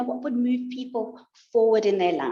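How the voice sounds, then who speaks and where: The woman's voice sits high in pitch. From South Africa. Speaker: life and relationships coach. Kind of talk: interview.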